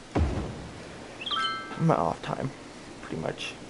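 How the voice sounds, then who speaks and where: A male voice comes through. Clear background noise sits underneath. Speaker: video game streamer. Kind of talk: gameplay commentary. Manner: casual, hesitant with many fillers.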